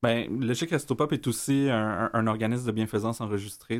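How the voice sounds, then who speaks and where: This man has a fairly low pitch and an ordinary speaking voice. The recording is very clean, with a silent background. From Quebec, east Montreal (Rosemont). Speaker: community organization director. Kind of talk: radio interview.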